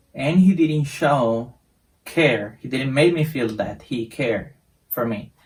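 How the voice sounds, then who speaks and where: Speaking very slowly with a Spanish accent, a man uses a medium pitch with ordinary pitch variation and a somewhat breathy sound. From Costa Rica. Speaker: English teacher. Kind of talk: casual introduction to viewers. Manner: halting, some repetitions.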